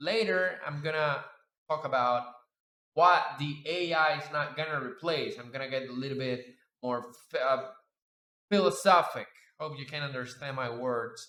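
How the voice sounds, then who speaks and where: Fairly slow, lively speech from a man at medium pitch with a Spanish accent and audible room echo. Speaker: 3D sculpting artist and YouTuber. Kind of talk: casual reflective commentary over screen demo. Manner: halting, many fillers.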